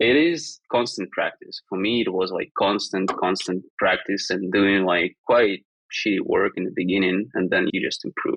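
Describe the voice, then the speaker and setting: The speech moves at a moderate pace. It carries a non-native accent. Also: man. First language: not English. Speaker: design education startup founder. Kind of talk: podcast interview. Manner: hesitant, many fillers.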